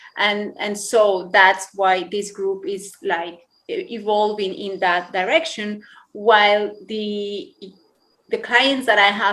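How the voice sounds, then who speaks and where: Speaking at a very slow pace with a Spanish accent, a woman keeps a medium pitch and ordinary pitch variation. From Colombia. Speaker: yoga teacher. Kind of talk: interview. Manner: animated.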